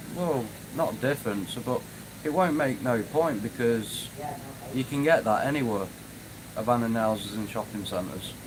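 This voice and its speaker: A man with a Manchester accent at medium pitch and moderate pace, ordinary pitch variation, long, frequent pauses, and noticeable background noise. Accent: northern English (Manchester area). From northwest England, near Manchester. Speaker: YouTuber, urban explorer. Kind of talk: live stream chat. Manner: casual, hesitant with fillers.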